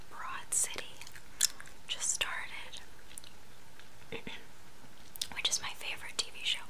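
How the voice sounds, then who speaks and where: A woman speaks softly in a whisper. Her pace is fairly slow. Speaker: vlogger. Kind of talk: casual vlog chat. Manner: soft close whisper with gum. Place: home room. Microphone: webcam.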